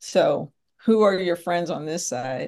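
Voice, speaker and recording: A normal speaking voice from a woman with an American accent, a fairly low pitch and a moderate pace. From US, Philadelphia area, Pennsylvania. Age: 50s. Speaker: podcast host and business professor. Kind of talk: interview, answering questions.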